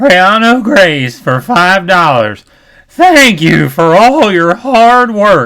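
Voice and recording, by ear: A man's put-on character voice, high-pitched, with very wide pitch swings, very even loudness and a very slow pace.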